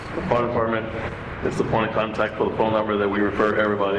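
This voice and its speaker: Through noticeable background noise and audible room echo, a man rattles off words at a very fast pace in a fairly low, monotone voice with flat intonation. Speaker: city administrator. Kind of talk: council meeting discussion. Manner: loud.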